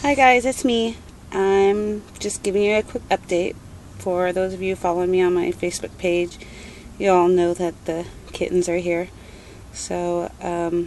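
A woman at a fairly slow pace with ordinary pitch variation, dry sound with no echo, and light background noise. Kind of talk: casual vlog chat. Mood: happy, tender. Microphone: phone near.

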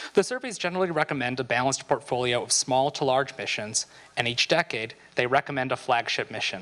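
Very rapid speech from a man, with pitch moving in a normal way. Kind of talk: reading meeting minutes. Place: hall. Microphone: handheld.

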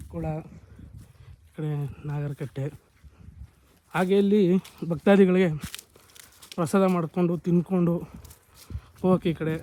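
A man's voice, high in pitch, with intonation that stays fairly even. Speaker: travel vlogger. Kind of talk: travel vlog narration.

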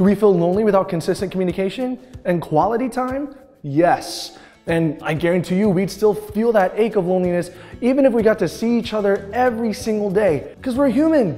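Faint music plays in the background as a man speaks at a fairly quick pace. His pitch is high, with ordinary pitch variation. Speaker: presenter. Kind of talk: casual talk to camera, scripted youth message. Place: classroom. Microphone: lapel.

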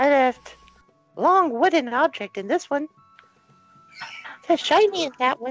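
This is a put-on character voice. It sounds female. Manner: earnest, friendly.

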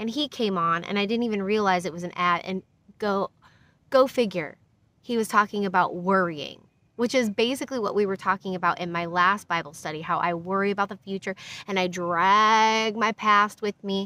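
A woman with an American accent, a bright, sharp tone, a moderate pace and a dry sound with no echo. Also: ordinary pitch variation. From US Midwest, Iowa. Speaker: Bible study host, YouTuber. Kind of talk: casual Bible study livestream. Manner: halting, with fillers. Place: open country. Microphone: phone near.

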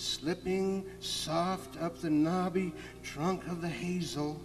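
Over noticeable background noise, a man speaks with a high pitch. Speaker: author. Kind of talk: children's story reading. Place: forest.

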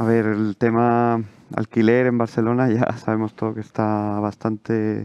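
This man speaks at a medium pitch with a monotone, flat intonation. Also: dry sound with no echo. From Chile. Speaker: surgical resident. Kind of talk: Q&A answers. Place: hall.

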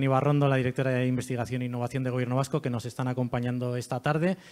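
A man talks at a medium pitch in a monotone, flat intonation. The background is quiet. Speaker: event presenter and foundation director. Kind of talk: event presentation. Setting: stage with audience. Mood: warm, welcoming. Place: hall. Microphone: handheld.

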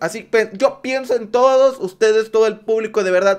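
A man is talking. His pace is fairly quick. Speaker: reaction youtuber. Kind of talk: casual reaction commentary. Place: home room. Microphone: studio mic.

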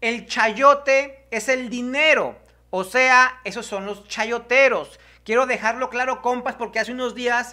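Speaking at a fairly slow pace, a man has an extremely high pitch and a bright, sharp tone, with fairly even intonation.

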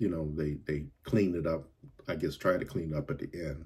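Against a quiet background, a man speaks at a moderate pace in a very deep, low voice with a dark, mellow tone and vocal fry. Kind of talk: movie review commentary. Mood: critical, somewhat annoyed. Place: home room. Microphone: phone near.

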